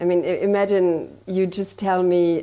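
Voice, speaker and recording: A woman with a German accent speaks at a fairly low pitch in a dark, mellow tone. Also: very clean recording, silent background. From Germany. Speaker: marketing consultant. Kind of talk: interview.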